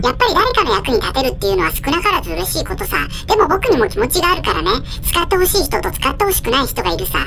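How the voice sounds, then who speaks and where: Someone performs a cartoonish character voice at an extremely high pitch and a very fast pace. Clear background noise runs beneath it. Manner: chatty, cheerful.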